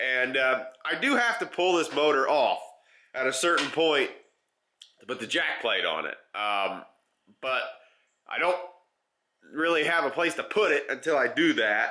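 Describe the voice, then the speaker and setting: Using a bright, sharp tone and lively intonation, a man with fairly high pitch speaks at a moderate pace and pauses often and at length. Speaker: outdoors DIY video host. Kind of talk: casual workshop vlog. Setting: workshop. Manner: casual, hesitant with fillers.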